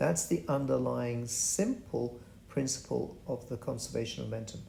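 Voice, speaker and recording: At a moderate pace, a man speaks with a dark, mellow tone, a medium pitch and vocal fry. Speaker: physics tutor. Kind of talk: tutorial. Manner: halting.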